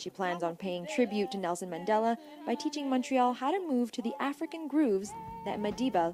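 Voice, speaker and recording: Music plays in the background as a woman with a fairly high pitch talks at a fairly quick pace. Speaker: TV news reporter. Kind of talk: TV news report.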